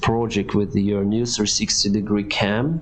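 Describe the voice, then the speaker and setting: In a room with audible echo and noticeable background noise, a man talks with a Ukrainian accent. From Ukraine. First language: Ukrainian or Russian. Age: 30s. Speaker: airline pilot and streamer. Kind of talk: live stream Q&A reading chat. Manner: halting.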